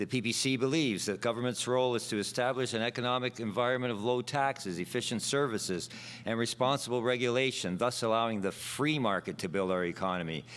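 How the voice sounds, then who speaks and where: With a Canadian accent, a man talks at a very fast pace. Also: medium pitch for a man, ordinary pitch variation, very even loudness. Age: 60s. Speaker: election candidate. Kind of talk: prepared debate speech. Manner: formal.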